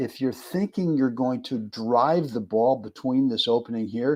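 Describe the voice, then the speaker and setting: A man with an American accent speaks at a moderate pace in a medium pitch. His tone is dark and mellow, his intonation lively, and the background quiet. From California, US. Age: 70s. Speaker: tennis coach. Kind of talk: live stream tutorial. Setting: live stream. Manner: casual, hesitant with fillers.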